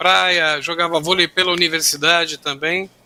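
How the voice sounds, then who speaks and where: In a very clean recording with a silent background, a man speaks at a moderate pace and a high pitch, his tone bright and sharp. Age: 50s. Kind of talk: panel discussion.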